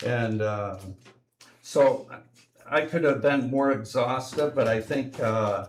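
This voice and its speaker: Speaking very slowly with long, frequent pauses, a man uses a medium pitch and ordinary pitch variation. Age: 70s. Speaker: public commenter. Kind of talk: public presentation. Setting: city commission meeting. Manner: halting, many fillers.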